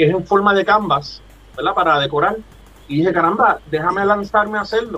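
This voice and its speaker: This man talks in a raised, projected voice at a high pitch, moving at a fairly quick pace with ordinary pitch variation and very even loudness. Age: 40s. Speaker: pixel artist. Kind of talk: interview.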